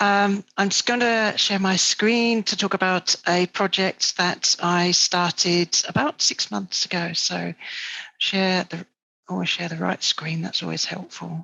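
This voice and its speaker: A woman with a British accent talks at a very slow pace, keeping her intonation fairly even. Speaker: astrophotographer. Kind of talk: presentation.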